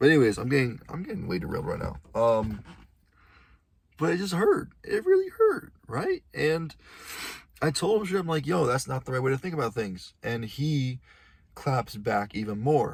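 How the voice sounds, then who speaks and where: Somewhat breathy, a man speaks at a medium pitch and a moderate pace with very wide pitch swings and long, frequent pauses. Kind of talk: casual monologue vlog.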